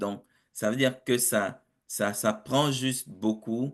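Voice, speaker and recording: In a quiet background, a man talks at a very slow pace with ordinary pitch variation. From Africa. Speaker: project management consultant and professor. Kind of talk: webinar interview. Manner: hesitant with fillers and repetitions.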